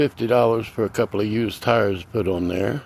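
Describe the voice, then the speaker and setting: Over noticeable background noise, a man with a medium-pitched voice talks at a moderate pace, his intonation lively and his tone relaxed. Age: 60s. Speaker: DIY repair vlogger. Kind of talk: casual how-to vlog. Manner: relaxed, frequent filler uh.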